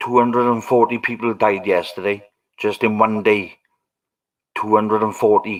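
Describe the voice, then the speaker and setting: A man speaks in a Welsh accent at a moderate pace and fairly low pitch. His intonation is monotone and flat, broken by long, frequent pauses. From Wales. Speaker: livestreamer. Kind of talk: casual chat.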